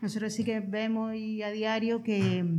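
Audible room echo surrounds a woman speaking at a fairly slow pace with fairly even intonation. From Andalusia. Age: 40s. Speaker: community social worker. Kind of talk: interview.

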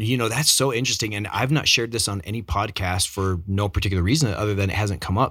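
Enthusiastic and very fast, a man talks at a fairly low pitch with a bright, sharp tone and ordinary pitch variation in a very clean recording with a silent background. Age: 50s. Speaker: podcast host. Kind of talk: interview.

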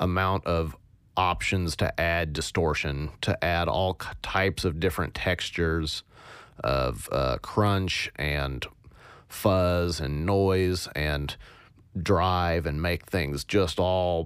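The speech moves at a very slow pace with fairly even intonation, captured on a very clean recording with a silent background. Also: man, very deep, low pitch for a man. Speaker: podcast host, sound designer. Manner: monotone.

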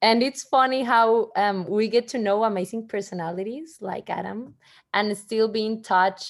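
A woman speaks at a fairly high pitch and a fairly slow pace, with ordinary pitch variation. The recording is very clean, with a silent background. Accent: Spanish. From Mexico. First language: Spanish. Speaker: podcast host. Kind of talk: casual chat. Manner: halting.

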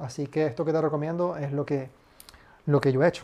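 This man has a plain, ordinary speaking voice with a fairly high pitch, moving at a moderate pace. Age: 20s. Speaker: podcast host, marketing consultant. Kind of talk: solo podcast monologue. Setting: home.

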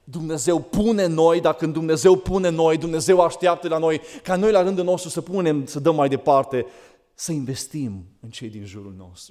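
A man's dark, mellow voice, fairly high in pitch, at a moderate pace, on a very clean recording with a silent background. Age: 40s. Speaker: preacher. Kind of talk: sermon.

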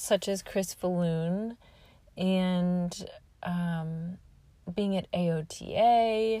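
Somewhat breathy, a woman with a Midwestern American accent speaks with ordinary pitch variation. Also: very clean recording, silent background. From Nebraska, US Midwest. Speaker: podcast host and home health occupational therapist. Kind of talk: solo podcast monologue. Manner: halting.

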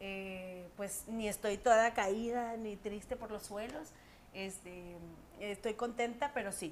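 Very slow delivery from a woman, her pitch fairly high, its variation ordinary. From Monterrey, Mexico. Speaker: singer and TV presenter. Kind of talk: casual interview chat. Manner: animated.

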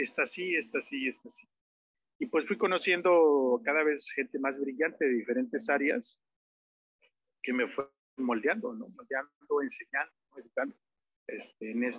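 Long, frequent pauses and very wide pitch swings from a man with a fairly high voice. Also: fairly slow pace. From Mexico, Oaxaca. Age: 30s. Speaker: musician and songwriter. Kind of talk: interview conversation. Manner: halting, many fillers.

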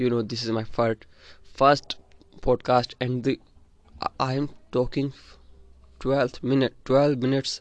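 A man's medium-pitched voice with an Indian accent, monotone and flat, at a fairly slow pace, with long, frequent pauses, in a dry, close sound with no echo. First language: an Indian language (not English). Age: young (18). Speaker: student and podcaster. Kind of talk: personal monologue. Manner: halting, repeats words.

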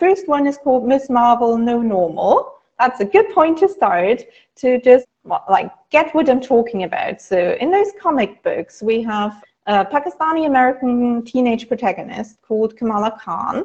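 A woman's high voice with very wide pitch swings at a moderate pace, in a German accent. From Germany. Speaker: academic writing instructor. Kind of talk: casual interview.

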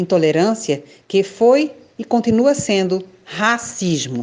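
A woman speaks at a medium pitch. Her voice moves in very wide pitch swings. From Brazil, Recife, Pernambuco. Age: 50s. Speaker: theologian and activist. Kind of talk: prepared reflection. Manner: formal.

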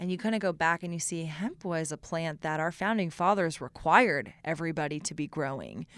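A woman's unremarkable speaking voice with an American accent, fairly low in pitch, ordinary pitch variation, a fairly quick pace, and a very clean recording with a silent background. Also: hardly any pauses. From Austin, Texas. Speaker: business founder. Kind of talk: casual interview.

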